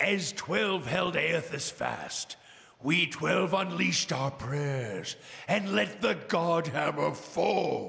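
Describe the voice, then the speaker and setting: Very slow, high-pitched put-on character voice from a man. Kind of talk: brooding fantasy monologue. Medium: actual play. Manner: grave, halting, introspective.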